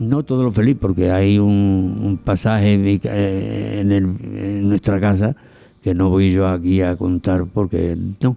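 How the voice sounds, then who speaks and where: Dark, mellow tone from a man with a fairly low pitch and fairly even intonation. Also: fairly slow pace, very even loudness. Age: 90s. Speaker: interview guest, elderly local resident. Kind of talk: radio interview. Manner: halting.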